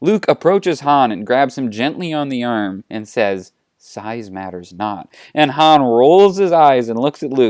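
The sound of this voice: With lively intonation, an unforced reading voice comes through over a quiet background.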